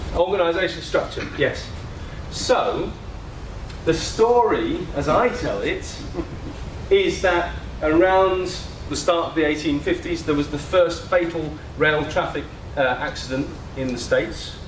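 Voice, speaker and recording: Speaking with long, frequent pauses, a man is heard in a room with audible echo and noticeable background noise. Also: fairly slow pace. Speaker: systems leadership speaker. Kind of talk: conference talk. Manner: hesitant fillers.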